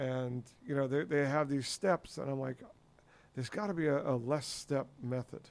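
Using a normal speaking voice, a man talks at a moderate pace and fairly high pitch with ordinary pitch variation. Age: 50s. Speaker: podcast host. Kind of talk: casual chat.

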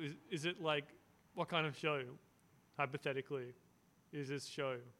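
Pausing long and often, a man with an Australian accent speaks at a moderate pace, his fairly high voice bright and sharp in tone. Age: 20s. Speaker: podcast host. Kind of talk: casual chat.

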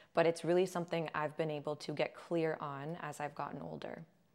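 The speaker has a Californian accent. The recording is very clean, with a silent background. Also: woman. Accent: Californian American. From Southern California. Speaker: holistic health coach. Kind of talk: casual interview.

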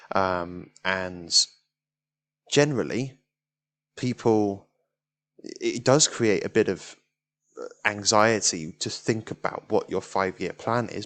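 A man with a British accent, his pitch fairly low, against a quiet background. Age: 20s. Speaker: podcast host. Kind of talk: solo monologue on self-improvement. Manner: hesitant, many fillers.

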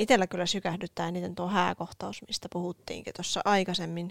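A woman with a normal speaking voice talks at a moderate pace, her pitch fairly low. The recording is very clean, with a silent background and a dry, close sound that has no echo. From Oulu, Finland. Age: 20s. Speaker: podcast co-host. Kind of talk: casual chat.

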